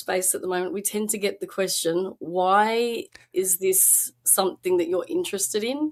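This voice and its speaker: On a very clean recording with a silent background, a woman with an Australian accent speaks at a moderate pace and medium pitch. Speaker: independent researcher. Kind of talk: podcast interview.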